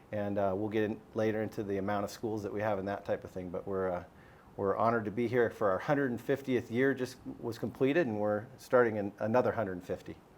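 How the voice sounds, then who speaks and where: Speaking with an American accent, a man uses a fairly low pitch and fairly even intonation. His pace is very fast. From US Southwest, Arizona. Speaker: school superintendent. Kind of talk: panel discussion.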